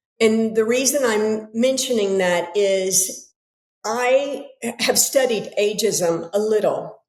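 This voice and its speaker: A woman with a General American accent speaks at a very slow pace in a fairly high pitch, her loudness very even and her pitch variation ordinary, with audible room echo. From United States. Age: 60s. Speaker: author and yoga teacher. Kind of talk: casual interview conversation.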